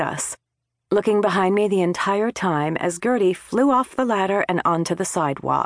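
At a moderate pace and medium pitch, a woman speaks in a normal speaking voice with ordinary pitch variation, in a quiet background with a dry, close sound and no echo. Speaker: audiobook narrator. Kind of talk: audiobook narration, first-person comic mystery read aloud. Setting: studio.

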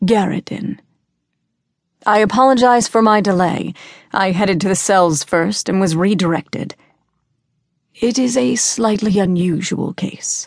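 Slowly and with long, frequent pauses, a woman speaks at a medium pitch with ordinary pitch variation. Her loudness stays very even over a quiet background. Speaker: audiobook narrator. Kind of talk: audiobook narration of fantasy fiction, reading aloud with character voices.

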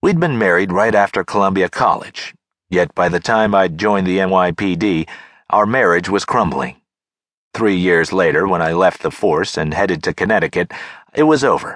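A man with an ordinary speaking voice, fairly low in pitch, at a moderate pace with ordinary pitch variation, over a quiet background. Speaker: audiobook narrator. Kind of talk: audiobook narration of a mystery, first-person, with dialogue voices.

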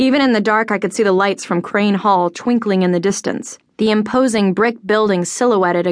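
With ordinary pitch variation, an unforced reading voice carries the clip.

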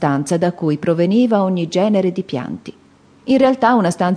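The speaker reads a text aloud in a natural voice.

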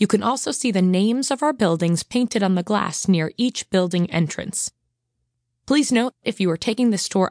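Lively in intonation, a woman with an American accent talks at medium pitch in a normal speaking voice. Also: dry, close sound with no echo. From US Northeast, Long Island, New York. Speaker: corporate tour guide. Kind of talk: scripted self-guided audio walking tour narration, addressing the listener directly. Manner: friendly, upbeat and welcoming, with light humor; clear, measured instructional pacing.

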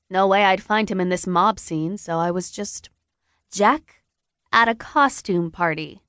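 A woman delivers her lines in an animated, dramatic, bright and sharp tone at medium pitch, with ordinary pitch variation and a fairly slow pace. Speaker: audiobook narrator. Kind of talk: audiobook narration, dramatic first-person reading with character voices. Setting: studio. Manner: animated, dramatic, voicing teenage characters in dialogue.

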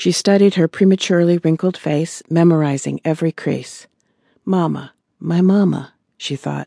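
Over a quiet background, a woman speaks with a dark, mellow tone at a fairly low pitch, her intonation fairly even and the sound dry and close with no echo. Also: moderate pace. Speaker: audiobook narrator. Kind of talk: dramatic audiobook narration of a tense wartime scene. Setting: studio. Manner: suspenseful, hushed build-up with rising urgency.

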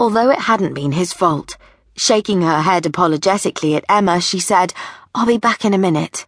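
What we hear is plain reading aloud.

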